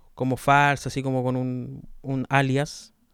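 A man with a Chilean accent speaks fairly slowly in a fairly high voice. The recording is very clean, with a silent background. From southern Chile, Los Ríos region. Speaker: podcaster. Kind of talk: casual monologue. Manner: relaxed.

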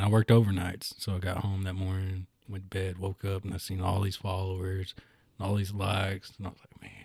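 Over a silent background in a very clean recording, a man speaks fairly quickly with a very deep, low pitch, a somewhat breathy voice, flat monotone intonation and big swings in loudness. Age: 30s. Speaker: musician. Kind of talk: casual chat.

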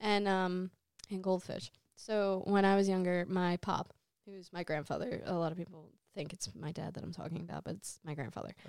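Using a normal speaking voice, a woman with an American accent talks at medium pitch and moderate pace, her intonation fairly even and her loudness swinging widely. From New Jersey, Jersey City. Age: 20s. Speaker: dancer and lighting technician. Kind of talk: casual chat.

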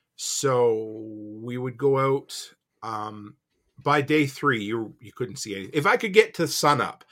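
With a normal speaking voice, a man talks at a fairly high pitch and ordinary pitch variation. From Nova Scotia, Canada. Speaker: homesteader and entrepreneur. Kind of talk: casual chat.

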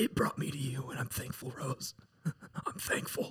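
A man puts on a shaky character voice at a medium pitch and a moderate pace. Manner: tender, earnest, trembling.

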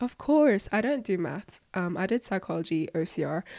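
In a very clean recording with a silent background, a woman with an English accent speaks at a moderate pace and medium pitch, her tone dark and mellow, her intonation lively, and the sound dry and close with no echo. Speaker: podcast host, student. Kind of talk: casual Q&A monologue.

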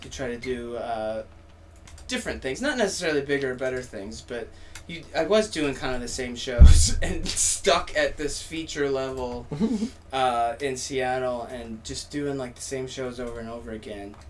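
A man speaks at a moderate pace with ordinary pitch variation and big swings in loudness. Music plays in the background, and the room echo is audible. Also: medium pitch for a man. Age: 30s. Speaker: stand-up comedian. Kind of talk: casual chat.

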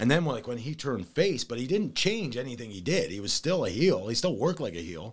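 A man with an American accent talks at a very fast pace in a medium pitch, somewhat breathy, his pitch swinging very widely. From US Midwest, Toledo, Ohio. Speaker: professional wrestler. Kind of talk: casual chat.

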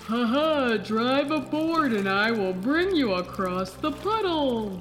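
Against clear background noise, a woman does a put-on character voice at a high pitch and a fairly slow pace. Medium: audio drama. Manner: warm, gentle, folksy.

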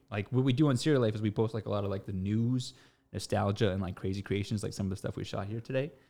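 A man with a Canadian accent talks very fast in a fairly low voice with a dark, mellow tone. His pitch varies in an ordinary way against a quiet background. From Canada, Toronto. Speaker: social media influencer and business co-owner. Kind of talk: casual chat. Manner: repeats words often.

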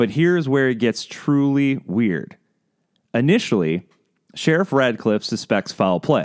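Recorded very cleanly against a silent background, a man with a medium pitch speaks fairly slowly, making very wide pitch swings at very even loudness. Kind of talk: true-crime narration. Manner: measured, steady storyteller pacing with ominous, suspenseful emphasis; clear, scripted, formal documentary delivery.

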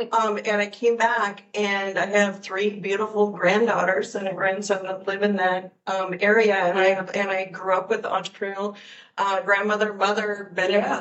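Audible room echo and noticeable background noise surround a woman with an American accent and a medium pitch. She talks at a moderate pace in monotone, flat intonation with hardly any pauses. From rural US state. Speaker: entrepreneur. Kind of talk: panel discussion. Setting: conference venue.

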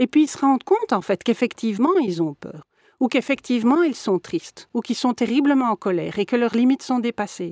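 A woman with a high voice talks at a fairly quick pace, her pitch swinging very widely. The recording is very clean with a silent background and a dry, close sound with no echo. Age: 50s. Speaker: mediator and lawyer. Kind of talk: interview.

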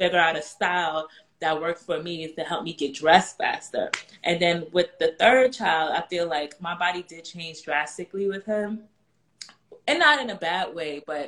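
With a normal speaking voice and fairly low pitch, a woman talks at a moderate pace, her pitch varying in an ordinary way and her loudness swinging widely. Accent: American. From New York. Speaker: personal stylist for moms. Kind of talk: casual chat.

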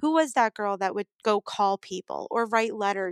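In an ordinary speaking voice with an American accent and lively intonation, the speaker comes through a dry, close sound with no echo on a very clean recording with a silent background. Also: woman. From New York City (Brooklyn). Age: 30s. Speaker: improv actor. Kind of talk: casual chat.

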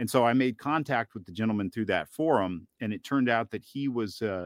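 An ordinary speaking voice from a man with an American accent, fairly low in pitch, fairly quick, with ordinary pitch variation, in a dry, close sound with no echo and a quiet background. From US South, northeast Georgia (Southern Appalachians). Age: 30s. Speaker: Bigfoot researcher and podcast producer. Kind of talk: interview.

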